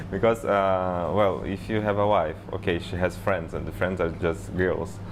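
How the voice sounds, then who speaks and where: Speaking at a moderate pace in a Portuguese accent, the voice stays monotone and flat, with audible room echo around it. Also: man, very deep, low pitch for a man. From Brazil. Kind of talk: interview.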